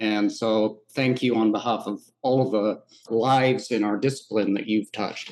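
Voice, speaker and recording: Speaking at a moderate pace, a man uses a plain, everyday voice with fairly even intonation. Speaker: interviewer, professor. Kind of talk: interview.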